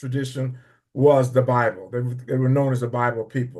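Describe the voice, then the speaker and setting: A man with a medium-pitched, dark and mellow voice, somewhat breathy, talks at a fairly quick pace. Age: 80s+. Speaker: church member. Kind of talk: testimony. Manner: halting.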